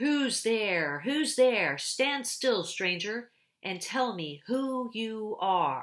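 A put-on character voice, female-sounding and growling, fairly high in pitch, at a very slow pace. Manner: menacing, demanding.

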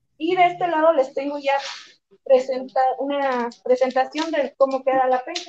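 The voice moves at a moderate pace with fairly even intonation over light background noise. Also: woman, high pitch for a woman. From Mexico, Guanajuato. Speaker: chef; presenter. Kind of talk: cooking demonstration. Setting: restaurant kitchen. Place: kitchen. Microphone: camera far.

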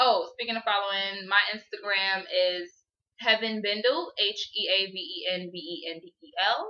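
Against a quiet background, a woman speaks at a moderate pace with ordinary pitch variation and big swings in loudness. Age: 20s. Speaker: YouTube vlogger. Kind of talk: casual chat. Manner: animated. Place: home room. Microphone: webcam.

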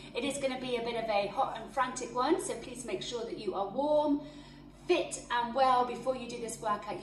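A woman speaks at a moderate pace in a high pitch. Audible room echo and light background noise surround her voice. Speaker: fitness instructor. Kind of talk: workout class intro. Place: home room.

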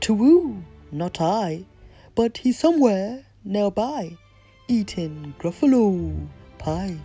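Over faint music in the background, a woman uses a put-on character voice, slow and lively in intonation, with a dark, mellow tone, a slightly husky edge and a medium pitch.

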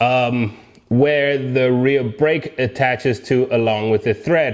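Male speech over a quiet background. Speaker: motorbike channel host. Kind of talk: casual vlog chat and tutorial. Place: garage. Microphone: lapel.

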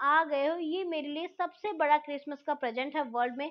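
Pitched high, a woman's voice shows ordinary pitch variation. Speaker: school teacher. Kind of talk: lecture. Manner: reads text aloud then translates.

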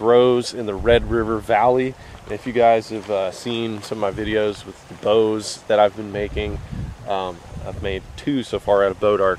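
A man with a fairly low pitch speaks in an ordinary speaking voice at a moderate pace. The sound is dry with no echo, with light background noise. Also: fairly even intonation. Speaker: fishing vlogger. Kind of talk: casual vlog chat. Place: waterside. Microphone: phone near.

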